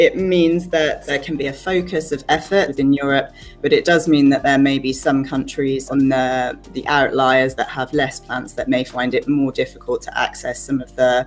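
Faint music plays in the background. A woman talks at a moderate pace with hardly any pauses. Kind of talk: presentation of slides. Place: home room.

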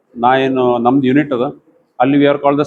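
A man speaks in a monotone, flat intonation at a medium pitch. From northern Karnataka, Gulbarga (Kalaburagi). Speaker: surgeon. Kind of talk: press conference statement.

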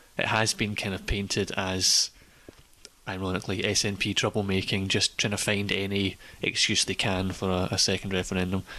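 Speaking in a Scottish accent at a moderate pace, a man uses a fairly low pitch, a bright, sharp tone and monotone, flat intonation. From Scotland. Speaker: podcast panelist. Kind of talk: casual chat. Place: hall. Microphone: handheld.

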